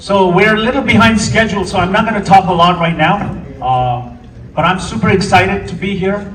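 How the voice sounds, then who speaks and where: A man talks at a fairly quick pace with a high pitch. Audible room echo and noticeable background noise are present. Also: ordinary pitch variation. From Tibetan community. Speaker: film director. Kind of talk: speech at a film premiere. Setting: stage with audience. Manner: hesitant, with fillers.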